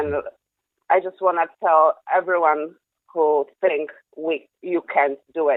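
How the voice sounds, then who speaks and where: Someone with a Polish accent speaks at a very slow pace, leaving long, frequent pauses. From Poland. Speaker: caller. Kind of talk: phone call to a live show.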